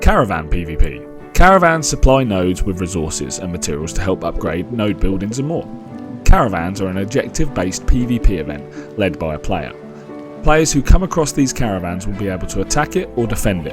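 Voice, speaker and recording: Over music in the background, a man with a British accent speaks at a fairly quick pace, his very deep, low pitch moving in very wide swings. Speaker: gaming video creator. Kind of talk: game overview narration.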